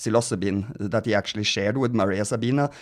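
On a very clean recording with a silent background, a man with a Norwegian accent speaks at a medium pitch with ordinary pitch variation. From Norway. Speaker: podcast host, activist. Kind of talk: casual chat. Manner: halting, many fillers.

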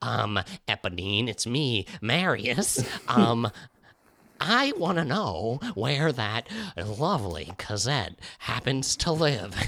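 A put-on character voice speaks at a very slow pace with a low-to-middle pitch. The recording is very clean, with a silent background. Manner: punchy, heroic.

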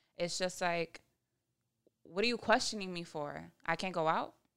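Bright and sharp in tone, a woman with a fairly low pitch speaks at a moderate pace. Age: 20s. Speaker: podcast co-host. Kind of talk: casual chat.

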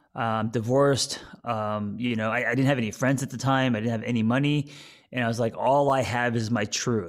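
A man with an American accent and a plain, everyday voice, medium in pitch with fairly even intonation, in a very clean recording with a silent background. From United States. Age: 40s. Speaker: therapist and author. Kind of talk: interview. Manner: casual, relaxed.

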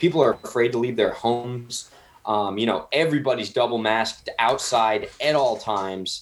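In a plain, everyday voice, this man speaks at a moderate pace with medium pitch and ordinary pitch variation. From New Jersey, Somerset County. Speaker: restaurant owner, celebrity chef. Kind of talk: casual interview.

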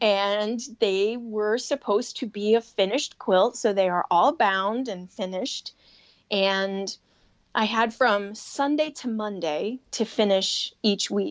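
With a Chicago accent, a woman speaks at a very slow pace and a fairly high pitch. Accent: Chicago-area American. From Chicago area, US. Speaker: sewing and quilting designer, business owner. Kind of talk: casual interview chat.

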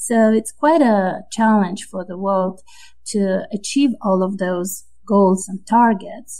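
Speaking at a very slow pace, a woman has a somewhat breathy voice with a dark, mellow tone and ordinary pitch variation. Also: medium pitch for a woman. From Moldova. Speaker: World Bank officer. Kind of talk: interview.

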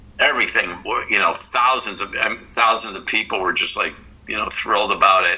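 A man speaks over noticeable background noise. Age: 60s. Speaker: rock guitarist. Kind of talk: interview. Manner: halting.

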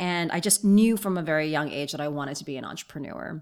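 A woman speaks with a very deep, low pitch. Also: very clean recording, silent background. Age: 40s. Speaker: author and entrepreneur. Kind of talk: casual interview. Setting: host's apartment.

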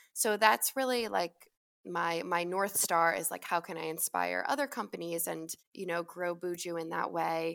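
In a very clean recording with a silent background, a woman with an American accent uses an ordinary speaking voice, fairly low in pitch, at a moderate pace with lively intonation. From Long Island, New York. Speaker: skincare company founder. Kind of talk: interview.

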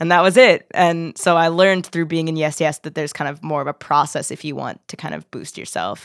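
An unremarkable speaking voice from a woman with an American accent, fairly low in pitch with ordinary pitch variation, big swings in loudness and hardly any pauses, on a very clean recording with a silent background. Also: fairly quick pace. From Philadelphia suburbs. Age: 20s. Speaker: singer-songwriter. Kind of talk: casual chat.

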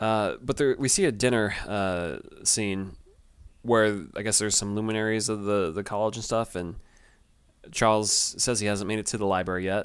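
A man with a normal speaking voice talks at a moderate pace and fairly low pitch, with fairly even intonation, on a very clean recording with a silent background. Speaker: podcast host. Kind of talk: casual chat. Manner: casual, rambling.

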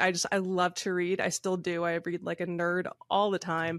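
With an American accent and a plain, everyday voice, a woman talks at medium pitch and a moderate pace over a quiet background. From rural Michigan. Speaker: country musician. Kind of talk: interview.

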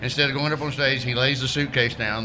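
A man speaks with a Southern US accent. Room echo is audible, and background noise is noticeable. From Alabama. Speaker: comedian. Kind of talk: casual chat. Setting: beer bar.

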